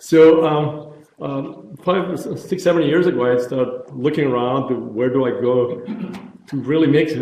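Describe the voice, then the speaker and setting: The room echo is audible. A man with a fairly high pitch shows ordinary pitch variation. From former Yugoslavia (Croatia/Bosnia). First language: Croatian. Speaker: neurologist, pain researcher. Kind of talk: lecture. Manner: halting, many fillers.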